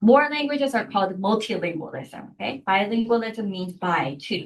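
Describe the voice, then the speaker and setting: In a Korean accent, a woman speaks at a moderate pace with a fairly high pitch and very wide pitch swings. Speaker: university lecturer. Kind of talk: lecture. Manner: hesitant, many fillers and restarts.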